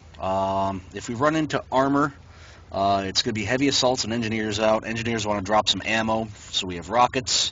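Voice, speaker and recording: A man with a normal speaking voice talks at a fairly quick pace, with a medium pitch and ordinary pitch variation. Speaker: gaming clan trainer. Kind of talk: game training instruction. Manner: instructive, directive.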